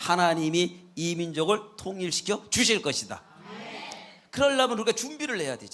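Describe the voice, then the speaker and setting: Amid noticeable background noise, a man speaks in a high pitch with very wide pitch swings and big swings in loudness. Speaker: guest pastor. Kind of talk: sermon. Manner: fast.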